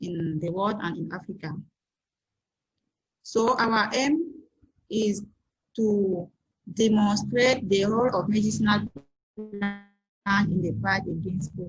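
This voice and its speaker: A woman's medium-pitched, somewhat breathy voice with a French accent, a fairly slow pace, ordinary pitch variation and long, frequent pauses. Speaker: scientist presenter. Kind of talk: conference presentation.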